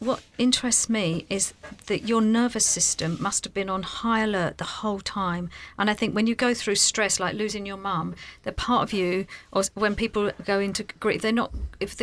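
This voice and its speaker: On a very clean recording with a silent background, a woman with a London accent speaks at a medium pitch with fairly even intonation. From South London, England. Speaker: podcast co-host. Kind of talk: podcast interview.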